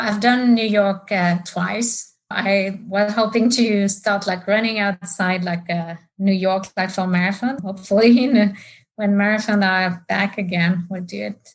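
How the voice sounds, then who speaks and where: A woman's somewhat breathy, medium-pitched voice, with fairly even intonation and a fairly slow pace. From France. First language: French. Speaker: market research executive and amateur runner. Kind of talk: podcast interview.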